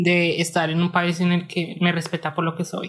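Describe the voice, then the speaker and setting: This woman's voice sits at a fairly low pitch. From Colombia. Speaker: pharmaceutical chemist and former asylum seeker. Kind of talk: personal testimony interview. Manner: hesitant, with many fillers.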